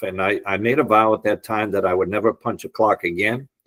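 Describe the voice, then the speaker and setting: Speech with a slight Boston accent at a moderate pace, dry and close with no echo, on a very clean recording with a silent background. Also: man. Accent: slight Boston area. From US Northeast, Boston area. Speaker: entrepreneur and real estate appraiser. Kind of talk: podcast interview, telling life story.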